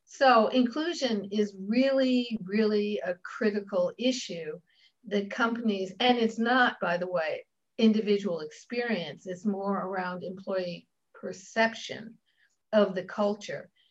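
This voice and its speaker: With a somewhat breathy voice and normal pitch movement, the woman talks fairly slowly. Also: medium pitch for a woman. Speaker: diversity consultant and coach. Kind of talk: interview conversation.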